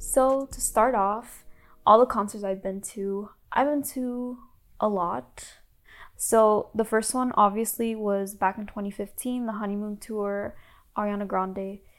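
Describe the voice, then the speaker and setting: A woman with an American accent talks in an ordinary speaking voice at a fairly high pitch and fairly slow pace, with fairly even intonation and big swings in loudness, on a very clean recording with a silent background. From US South. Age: 20s. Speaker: podcast host, college student. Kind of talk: casual chat.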